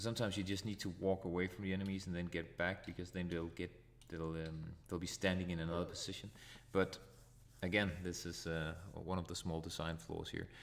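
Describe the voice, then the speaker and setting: A man speaks fairly quickly in a Danish accent. His pitch is very deep and low, his intonation monotone and flat. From Denmark. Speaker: retro gaming streamer. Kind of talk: live gameplay commentary. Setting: live stream.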